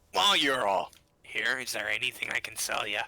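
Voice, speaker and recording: Putting on a character voice, a man speaks raspily at a medium pitch and a fairly quick pace. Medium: actual play. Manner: blunt, practical.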